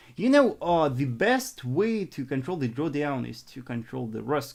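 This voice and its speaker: A fairly slow delivery in a Russian accent. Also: man. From northern Russia. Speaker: forex trader and trading coach. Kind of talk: live stream trading analysis and Q&A. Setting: live stream. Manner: halting, frequent repetitions.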